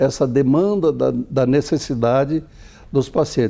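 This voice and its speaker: Over a quiet background, a man with a fairly high pitch speaks in a dark, mellow tone with ordinary pitch variation. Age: 70s. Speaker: optometrist. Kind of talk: TV interview.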